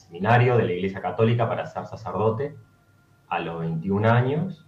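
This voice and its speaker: A man's somewhat breathy voice at a moderate pace, with lively intonation. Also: medium pitch for a man. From Argentina, Córdoba. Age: 30s. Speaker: former seminarian. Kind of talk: interview. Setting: video call.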